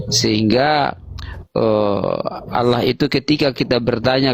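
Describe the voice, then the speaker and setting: Pitch varies in an ordinary way as a man talks very slowly. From eastern Indonesia (NTT). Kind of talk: Q&A with a priest. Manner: halting, many fillers.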